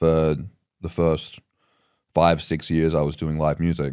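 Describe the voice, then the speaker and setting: A man speaks with an Australian accent. His very deep voice has a dark, mellow tone. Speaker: podcast host. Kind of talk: casual interview chat. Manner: fast.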